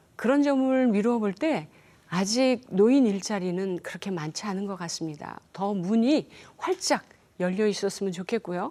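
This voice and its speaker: A woman's medium-pitched voice, dark and mellow, at a fairly slow pace with lively intonation, on a very clean recording with a silent background. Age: 60s. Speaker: storyteller for children. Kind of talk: interview.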